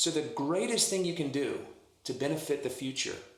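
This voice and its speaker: A man speaks with an American accent at a fairly slow pace. His pitch is fairly high with ordinary variation, and audible room echo is present. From US South, New Orleans. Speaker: minister and author. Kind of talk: podcast interview.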